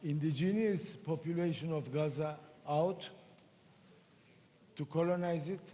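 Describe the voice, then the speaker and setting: A man with a Turkish accent, fairly high-pitched, dark and mellow in tone. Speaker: member of parliament, panelist. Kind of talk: panel discussion.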